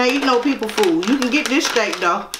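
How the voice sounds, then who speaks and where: With noticeable background noise behind her, a woman talks at a moderate pace in a high pitch. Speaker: comedy skit host, dog owner; comedy skit host. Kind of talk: comedic rant. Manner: animated, exaggerated; scolding, sassy, repetitive. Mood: playful, scolding-teasing. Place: home room.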